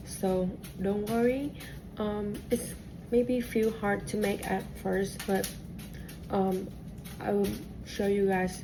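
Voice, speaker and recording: A woman with a Vietnamese accent speaks very slowly in a dark, mellow, somewhat breathy tone at medium pitch. Her intonation is monotone and flat, and room echo is audible. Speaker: cooking teacher. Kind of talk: cooking class instruction. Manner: halting, many fillers and restarts.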